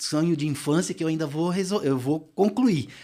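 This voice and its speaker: A man speaks with a high pitch for a man and a dark, mellow tone. His intonation is lively, and the recording is very clean with a silent background. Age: 60s. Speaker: marathon runner. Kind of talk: casual chat. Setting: studio. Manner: animated.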